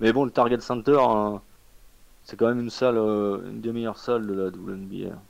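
A man with an ordinary speaking voice talks at a moderate pace and medium pitch, his intonation fairly even but his loudness swinging widely. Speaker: basketball podcast panelist. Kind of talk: casual chat. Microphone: connection dropped.

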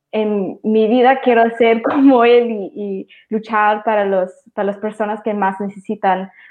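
In an unremarkable speaking voice, a woman talks at a fairly slow pace with ordinary pitch variation. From Maryland, US, Salvadoran parents. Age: 20s. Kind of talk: casual livestream conversation.

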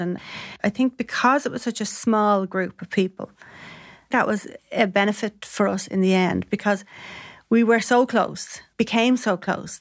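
Speaking in a Dublin accent, a woman uses a medium pitch and fairly even intonation on a very clean recording with a silent background. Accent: Dublin Irish. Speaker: former striking shop worker. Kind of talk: interview, personal testimony.

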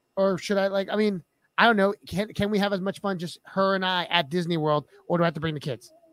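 A man talks at a very fast pace with an animated tone and a high pitch, recorded with a dry, close sound and no echo. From Filipino heritage. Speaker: podcast co-host and high school teacher. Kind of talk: casual chat.

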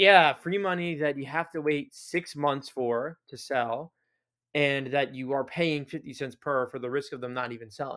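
On a very clean recording with a silent background, a man speaks at a moderate pace in a plain, everyday voice, fairly high in pitch with ordinary pitch variation. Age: 20s. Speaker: sports card podcast co-host. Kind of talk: casual chat.

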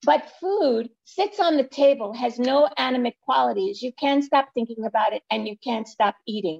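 In a dry, close sound with no echo, a woman with a New York accent talks at a moderate pace with hardly any pauses, her high voice making very wide pitch swings. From Brooklyn, New York. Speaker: weight-loss coach and author. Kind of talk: interview.

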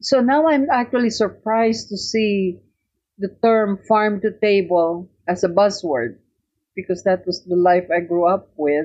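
A woman with a Filipino accent talks at a medium pitch. Her pace is fairly slow and her intonation lively. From Philippines, Tarlac. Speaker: cookbook author. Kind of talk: interview, personal reminiscence.

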